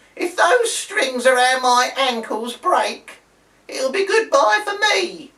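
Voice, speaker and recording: Doing a put-on character voice, a man speaks at a fairly slow pace, extremely high in pitch and with very wide pitch swings. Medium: read story. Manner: shrill, shouting.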